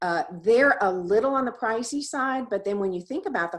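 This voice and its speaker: Against a quiet background, a woman speaks at a moderate pace in an ordinary speaking voice with lively intonation. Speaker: presenter. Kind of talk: presentation.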